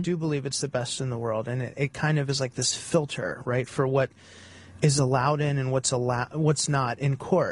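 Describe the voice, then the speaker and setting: At a fairly quick pace, a man speaks with fairly even intonation and a somewhat breathy voice. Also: medium pitch for a man. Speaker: guest on radio show, defendant's brother. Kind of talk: interview answer. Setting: studio. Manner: soft-spoken.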